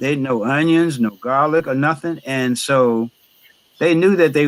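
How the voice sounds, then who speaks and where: A man speaks at a moderate pace with a fairly high pitch. He has an unremarkable speaking voice. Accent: American. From northern New Jersey. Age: 60s. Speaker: chef and baker. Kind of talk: interview conversation.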